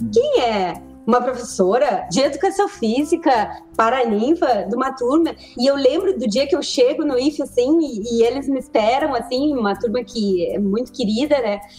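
Over noticeable background noise, a woman's high voice at a moderate pace with lively intonation. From southern Brazil, Pelotas. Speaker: physical education teacher. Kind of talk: casual chat.

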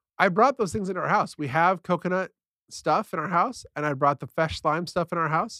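A man with an American accent, a high pitch and a bright, sharp tone, at a moderate pace with ordinary pitch variation, in dry, close sound with no echo. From San Diego, California. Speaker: podcast co-host. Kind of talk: casual chat.

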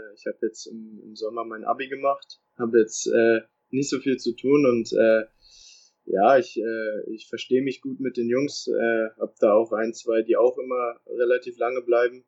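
At a fairly slow pace, a man speaks with big swings in loudness, in a dry, close sound with no echo. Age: young. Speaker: professional footballer. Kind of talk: interview. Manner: halting.

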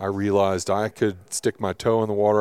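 On a very clean recording with a silent background, a man speaks fairly quickly at a fairly low pitch in a monotone, flat way. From Kentucky. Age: 40s. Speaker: business executive. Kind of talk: casual interview. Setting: outdoors on a mountain ranch.

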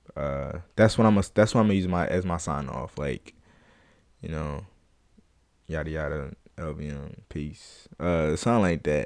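This speaker has vocal fry, long and frequent pauses, big swings in loudness, ordinary pitch variation and a moderate pace, on a very clean recording with a silent background. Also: man, very deep, low pitch for a man. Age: 20s. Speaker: podcast host. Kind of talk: casual solo podcast talk. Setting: home recording on camera. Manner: halting, many filler ums.

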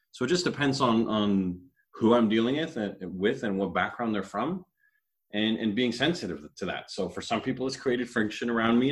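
A man with a Canadian accent talks at a moderate pace and medium pitch. He has an unremarkable speaking voice with ordinary pitch variation. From Canada. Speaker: panelist. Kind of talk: casual group discussion. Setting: video call.

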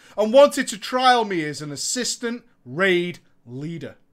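In a very clean recording with a silent background, a man with an Australian accent speaks with very wide pitch swings. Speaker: gaming streamer. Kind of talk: storytelling. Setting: home studio. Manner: animated.

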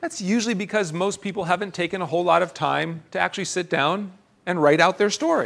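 A man with an American accent, high in pitch, on a very clean recording with a silent background. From central Pennsylvania. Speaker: pastor. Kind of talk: sermon.

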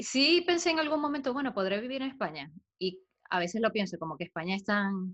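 A woman talks at a fairly quick pace. Her fairly high pitch swings very widely. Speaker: podcast co-host. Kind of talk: casual chat.

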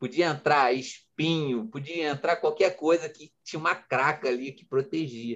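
A man talks at a fairly slow pace in a plain, everyday voice, pitched fairly high. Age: 40s. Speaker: entrepreneur and coach. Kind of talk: interview. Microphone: connection glitch.

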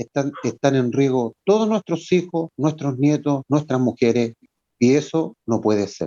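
With a dry, close sound and no echo, a man speaks at a fairly slow pace in a fairly high, dark, mellow voice with lively intonation. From Chile. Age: 50s. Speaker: retired navy serviceman, bereaved father. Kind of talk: radio interview.

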